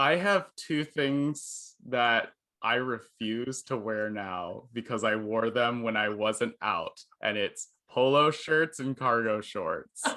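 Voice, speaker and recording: The background is quiet as a man speaks at a very slow pace. His medium-pitched voice has a bright, sharp tone and ordinary pitch variation. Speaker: journalist. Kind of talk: casual interview. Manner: loud.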